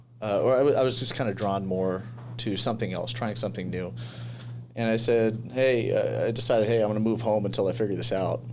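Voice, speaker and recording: A man with a Californian accent speaks at a very fast pace and medium pitch with fairly even intonation. The recording has noticeable background noise and audible room echo. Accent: Californian American English. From US West Coast, San Diego. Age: 20s. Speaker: commercial real estate agent. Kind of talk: podcast interview. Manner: casual, hesitant with many fillers.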